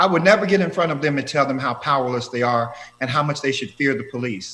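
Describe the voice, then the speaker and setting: A man talks at a very fast pace in a fairly high voice. Noticeable background noise runs underneath. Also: ordinary pitch variation. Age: 60s. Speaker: professor. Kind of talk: interview. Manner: animated.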